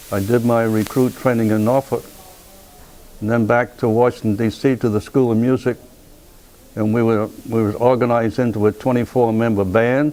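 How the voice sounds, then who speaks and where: In a Rhode Island accent, a man talks at a moderate pace and medium pitch, his intonation monotone and flat. Long, frequent pauses break up his speech while music plays in the background. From US Northeast, Pawtucket, Rhode Island. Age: 90s. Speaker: war veteran. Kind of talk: oral history interview. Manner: halting, repeats words.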